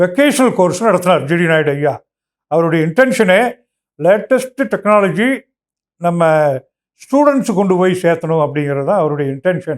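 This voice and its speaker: High in pitch, a man's voice moves with lively intonation. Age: 70s. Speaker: elder community figure. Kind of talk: personal tribute.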